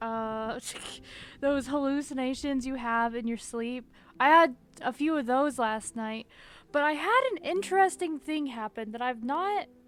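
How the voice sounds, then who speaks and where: On a very clean recording with a silent background, a soft-spoken woman with a high pitch talks at a fairly slow pace with ordinary pitch variation. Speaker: streamer. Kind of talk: casual chat. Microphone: new mic.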